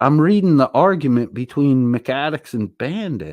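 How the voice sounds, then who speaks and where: A man speaks at a fairly slow pace with very wide pitch swings. The sound is dry and close with no echo, on a very clean recording with a silent background. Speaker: livestream host reading chat. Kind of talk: casual livestream chat. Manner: profane, combative.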